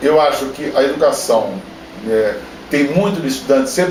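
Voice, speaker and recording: With lively intonation and a fairly high pitch, a man speaks in a room with audible echo and noticeable background noise. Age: 60s. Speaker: engineering professor. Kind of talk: interview. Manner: halting.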